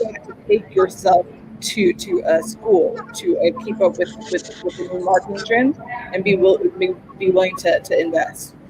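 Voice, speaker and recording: Music plays in the background. The speech runs at a moderate pace. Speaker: social media marketing expert. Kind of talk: panel interview on live stream. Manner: halting, with repetitions.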